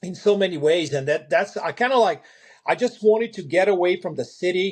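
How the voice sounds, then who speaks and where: Against a quiet background, a man with a European accent talks at a high pitch with ordinary pitch variation. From Eastern Europe, ex-socialist country. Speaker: farmer. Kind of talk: interview storytelling. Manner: halting, many fillers and repeats.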